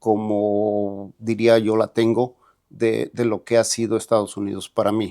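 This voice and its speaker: A man in a central Mexican accent, fairly low in pitch, with a dark, mellow tone and monotone, flat intonation in a very clean recording with a silent background. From central Mexico, rural State of Mexico. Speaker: immigrant bakery owner. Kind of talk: interview testimony. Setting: podcast studio. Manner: halting, many fillers.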